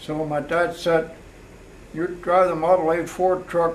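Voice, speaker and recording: In an American accent, a man speaks at a fairly high pitch and moderate pace with monotone, flat intonation, and audible room echo fills the recording. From US, Pennsylvania (Palmyra area). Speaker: retired mailman. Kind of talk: oral history interview. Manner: halting.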